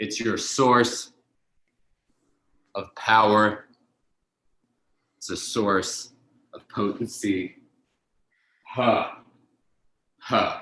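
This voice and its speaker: Put on as a character voice, this resonant delivery is very slow, with fairly even intonation and long, frequent pauses. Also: man, medium pitch for a man. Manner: powerful, potent.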